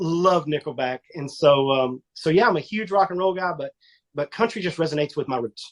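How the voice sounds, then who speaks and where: This man has a Texan accent and a fairly high pitch. The sound is dry and close, with no echo. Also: ordinary pitch variation. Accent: Texan accent, drawl. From Northeast Texas. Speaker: country music singer. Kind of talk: casual interview.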